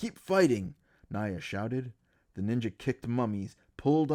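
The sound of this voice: The intonation moves in a lively way. The reading voice is unforced.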